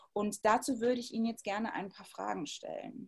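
A woman speaks in a plain, everyday voice. Her pitch is fairly high, with ordinary pitch variation. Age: 30s. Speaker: interviewer. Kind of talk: interview. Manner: formal.

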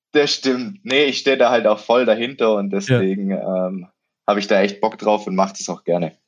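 This is a plain, everyday voice that moves at a fairly quick pace with ordinary pitch variation. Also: man, fairly low pitch for a man. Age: 20s. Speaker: student and triathlete. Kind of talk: interview.

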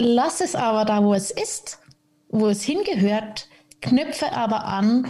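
Speaking fairly slowly, a woman uses an unremarkable speaking voice that sits fairly high in pitch. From Switzerland, Zürich. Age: 30s. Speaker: podcast guest, mother in recovery from alcohol. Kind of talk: casual interview chat.

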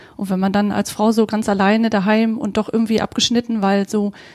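A woman speaks at a fairly quick pace in a fairly high, somewhat breathy voice, her intonation monotone and flat, the sound dry and close with no echo. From Vorpommern, Germany (near Greifswald). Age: 30s. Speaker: podcast co-host, networker. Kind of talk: casual conversation.

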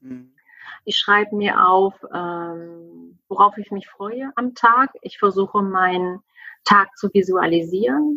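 Very slow in pace, a woman at medium pitch talks with lively intonation and big swings in loudness, in a dry, close sound with no echo. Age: 40s. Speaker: family coach. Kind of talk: interview. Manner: animated.

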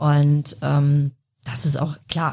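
The speaker is a woman. Her voice has a somewhat breathy quality. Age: 40s. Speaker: technical support manager. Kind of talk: casual interview.

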